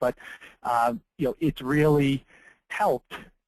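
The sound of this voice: Speaking at a slow pace, a man keeps his intonation fairly even. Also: medium pitch for a man.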